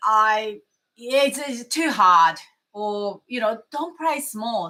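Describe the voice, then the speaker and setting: With a strong non-native accent, a woman speaks in a fairly high pitch, her tone bright and sharp and her pitch variation ordinary. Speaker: mindfulness coach. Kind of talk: motivational talk to camera. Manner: animated.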